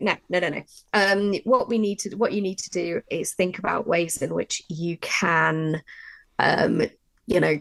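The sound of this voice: Speaking at a fairly slow pace, a woman uses a fairly low voice with vocal fry and fairly even intonation.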